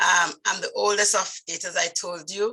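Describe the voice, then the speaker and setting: A woman with a strong Vincentian accent, medium pitch and moderate pace. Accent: thick Vincentian. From Saint Vincent, West Indies. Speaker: nurse midwife, speaking club member. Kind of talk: personal story speech. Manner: halting.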